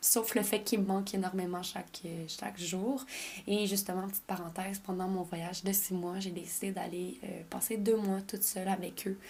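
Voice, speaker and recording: A woman speaks at a medium pitch with a Quebec accent. Her voice is somewhat breathy and her intonation monotone and flat. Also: moderate pace. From Quebec, French parents. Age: 20s. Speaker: podcast host. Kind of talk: casual personal monologue.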